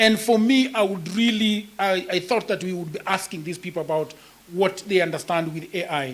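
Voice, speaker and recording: A moderate pace and ordinary pitch variation in a Kenyan accent, with noticeable background noise. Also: man, high pitch for a man. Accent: Kenyan (Luo) English. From Kenya, Nyakach (Luo area). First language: Luo. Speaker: writer and content creator. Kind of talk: panel discussion.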